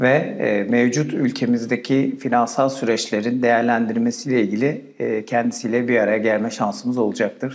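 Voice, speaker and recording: Moderately paced male speech. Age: 40s. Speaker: software company country manager, interviewer; interviewer. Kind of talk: interview. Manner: hesitant with many filler sounds. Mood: calm, polite. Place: studio. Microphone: lapel.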